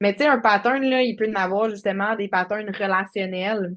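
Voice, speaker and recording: A woman with a Quebec accent, medium pitch and a fairly slow pace. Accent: Québécois French. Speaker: life coach. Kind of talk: interview.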